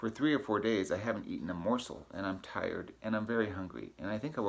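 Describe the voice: This is plain reading aloud. The words are simply read off.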